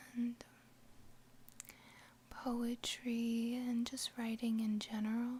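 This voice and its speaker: Very slow in pace, the speaker is soft-spoken. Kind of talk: casual talk to camera.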